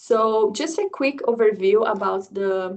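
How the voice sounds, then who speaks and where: A woman with a Brazilian accent. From southern Brazil. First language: Portuguese. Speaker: agricultural economics researcher and instructor. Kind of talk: lecture. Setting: video call. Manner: halting.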